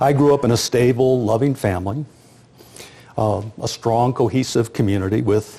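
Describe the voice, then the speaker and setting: A man with an American accent speaks at a moderate pace in a somewhat breathy, dark, mellow voice with a fairly low pitch and ordinary pitch variation. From US Midwest, rural South Dakota. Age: 60s. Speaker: sociologist and demographer. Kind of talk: lecture.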